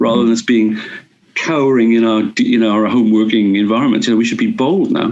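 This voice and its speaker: Speaking with a Welsh accent, a man talks at a fairly quick pace. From Wales. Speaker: urban policy advisor. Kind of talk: interview answer.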